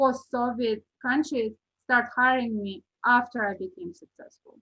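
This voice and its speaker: Her voice is high in pitch. This woman has a bright, sharp tone. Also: ordinary pitch variation, fairly slow pace. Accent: non-native. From Uzbekistan. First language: not English. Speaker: real estate agent. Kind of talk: podcast interview.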